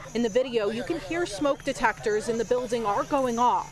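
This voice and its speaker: Over noticeable background noise, a woman talks at a fairly quick pace in a high voice with lively intonation. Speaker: TV news reporter. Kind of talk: TV news reporter package and live report.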